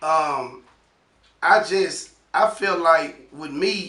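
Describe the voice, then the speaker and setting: Speaking at a very slow pace, a man has a high pitch with ordinary variation and a bright, sharp tone. Audible room echo surrounds his voice. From Memphis, Tennessee. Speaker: author interviewed about prison and his book. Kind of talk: casual interview.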